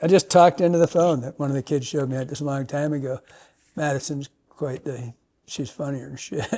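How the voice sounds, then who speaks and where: Speaking at a fairly quick pace, a man with a dark, mellow tone and fairly high pitch keeps his intonation fairly even while his loudness swings widely. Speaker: podcast host, fly fishing. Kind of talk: casual chat. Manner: mumbling.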